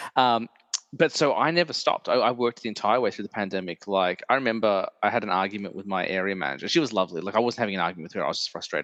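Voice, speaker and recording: In a dry, close recording with no echo, a man with an Australian accent talks very fast with lively intonation. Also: fairly low pitch for a man. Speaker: podcast host. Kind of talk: casual chat.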